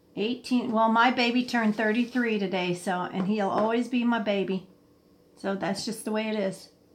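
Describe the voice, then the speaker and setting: A woman with a fairly high pitch talks at a moderate pace in a somewhat breathy voice. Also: fairly even intonation. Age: 60s. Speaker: livestream host. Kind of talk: casual chat. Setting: live stream.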